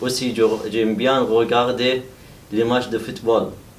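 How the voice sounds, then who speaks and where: Audible room echo around a man's voice at a medium pitch. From Iraq. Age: 30s. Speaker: adult French language trainee. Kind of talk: self-introduction speaking exercise. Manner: halting with hesitations.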